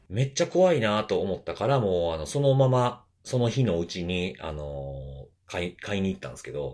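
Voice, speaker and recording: A man with a fairly low pitch speaks with very wide pitch swings. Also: moderate pace. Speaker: security podcast host. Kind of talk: casual chat.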